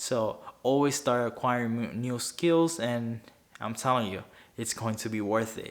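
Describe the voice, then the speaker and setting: This man speaks with a Spanish accent at a fairly slow pace. His pitch is medium. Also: fairly even intonation. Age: 20s. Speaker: finance YouTuber. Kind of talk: talking-head video. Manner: halting, frequent self-corrections.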